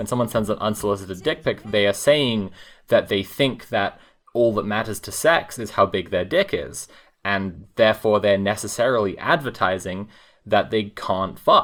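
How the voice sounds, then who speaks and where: Speaking at a moderate pace, a man has a normal speaking voice, a fairly low pitch and ordinary pitch variation. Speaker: tabletop game player. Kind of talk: casual tabletop roleplaying game podcast.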